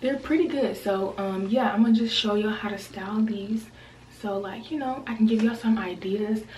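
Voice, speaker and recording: A woman talks at a fairly high pitch and a fairly quick pace. Her pitch varies in an ordinary way, with noticeable background noise. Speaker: beauty vlogger. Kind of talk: tutorial. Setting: bathroom at home. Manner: casual, chatty with many fillers.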